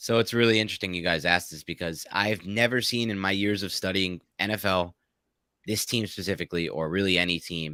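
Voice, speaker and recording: On a very clean recording with a silent background and a dry, close sound with no echo, a man with a New York accent speaks fairly quickly in a very deep, low pitch, his tone bright and sharp and his intonation fairly even. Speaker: sports podcast host and fantasy editor. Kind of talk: podcast interview.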